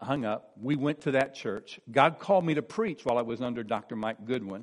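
A man with an unremarkable speaking voice, medium pitch and lively intonation talks with an American accent. The background is quiet. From US Midwest (eastern Missouri). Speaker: pastor. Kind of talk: sermon.

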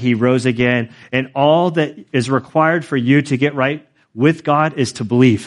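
A man speaks in a normal speaking voice. His pitch is medium, with ordinary pitch variation. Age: 40s. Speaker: pastor. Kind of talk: sermon. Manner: casual, conversational.

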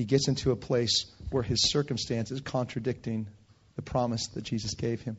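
Somewhat breathy, a man with a Californian accent talks at a fairly quick pace. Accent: Californian American. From Northern California, Bay Area. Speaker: preacher. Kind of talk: sermon. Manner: animated.

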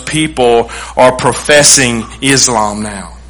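A man with a Texan accent speaks at a very slow pace with ordinary pitch variation. Room echo is audible, along with noticeable background noise. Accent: Texan Southern US. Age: 40s. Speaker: pastor. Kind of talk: sermon.

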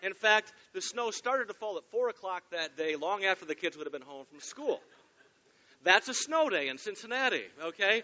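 A man with a Michigan accent talks at a fairly quick pace in a high pitch, with very wide pitch swings and big swings in loudness. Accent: US Midwest (Michigan). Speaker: pastor. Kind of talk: sermon. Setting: church.

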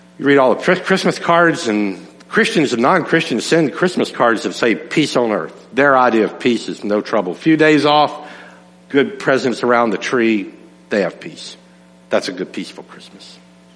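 A man speaks at a medium pitch and a moderate pace with very wide pitch swings and big swings in loudness. Audible room echo fills the recording. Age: 60s. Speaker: pastor. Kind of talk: sermon.

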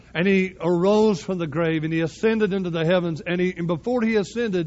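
With a Southern US accent, this man speaks at a high pitch. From US South. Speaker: pastor. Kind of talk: sermon.

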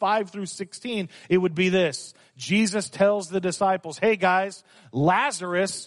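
Fairly even intonation runs through this reading aloud in a natural voice.

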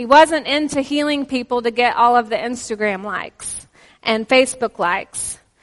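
In a Texan accent, a woman with a high pitch speaks at a fairly slow pace with ordinary pitch variation. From Texas. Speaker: visiting pastor. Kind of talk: sermon. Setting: church with congregation.

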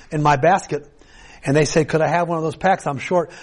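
This man's pitch is fairly high, with ordinary variation. He has an ordinary speaking voice and moves at a fairly quick pace. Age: 60s. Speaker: pastor. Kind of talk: sermon. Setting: church.

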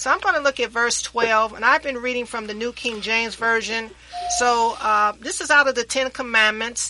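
A woman speaks in an American accent at a moderate pace. Her fairly high pitch shows ordinary variation over noticeable background noise. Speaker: radio host. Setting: studio.

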